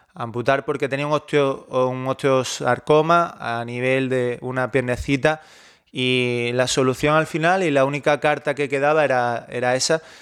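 A man's ordinary speaking voice, medium in pitch, with fairly even intonation. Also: fairly slow pace. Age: 30s. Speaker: online fitness coach. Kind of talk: personal monologue.

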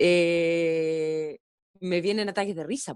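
Recorded dry and close with no echo, a woman speaks at a medium pitch. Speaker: actress. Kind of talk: casual interview. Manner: halting, with many fillers.

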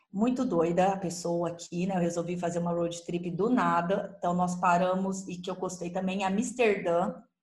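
A woman's fairly low pitch with fairly even intonation, somewhat breathy and with a slight São Paulo accent, at a moderate pace with hardly any pauses, in audible room echo. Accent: slight caipira accent with rolled R. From Ribeirão Preto, interior of São Paulo, Brazil. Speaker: travel agent. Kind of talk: casual chat.

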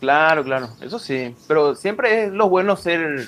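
The speaker uses a normal speaking voice at a fairly slow pace. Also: man. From Paraguay. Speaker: cryptocurrency enthusiast. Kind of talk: casual chat. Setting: at home, remote.

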